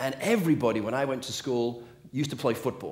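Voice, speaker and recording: With an English accent, a man of medium pitch talks at a fairly quick pace, using ordinary pitch variation and some vocal fry. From England. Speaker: motivational speaker. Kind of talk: motivational talk.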